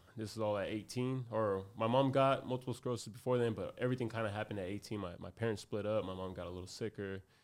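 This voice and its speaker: On a very clean recording with a silent background, a man with an American accent speaks very fast at a fairly low pitch, with fairly even intonation and hardly any pauses. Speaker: boxer. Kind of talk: casual chat.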